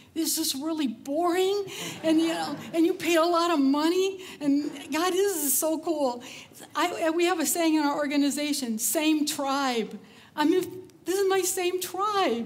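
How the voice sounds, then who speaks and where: In a room with audible echo, a woman with an extremely high pitch speaks at a fairly slow pace with ordinary pitch variation. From Texas, Cajun roots. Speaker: conference speaker. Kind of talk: conference talk. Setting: stage with audience. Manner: casual, chatty.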